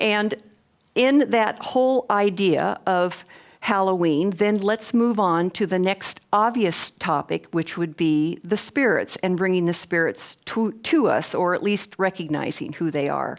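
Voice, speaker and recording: A woman with an unremarkable speaking voice at a medium pitch speaks at a fairly slow pace. Her loudness stays very even on a very clean recording with a silent background. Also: ordinary pitch variation. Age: 60s. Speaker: lecturer on clairvoyance. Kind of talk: lecture.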